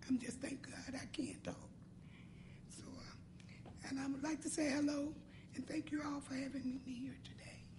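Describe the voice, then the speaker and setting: In an American accent, a woman speaks at a moderate pace with a high pitch and monotone, flat intonation, and audible room echo. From US Midwest, Cincinnati, Ohio. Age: 60s. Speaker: patient telling her story. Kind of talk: personal testimony. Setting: roundtable meeting with audience. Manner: halting.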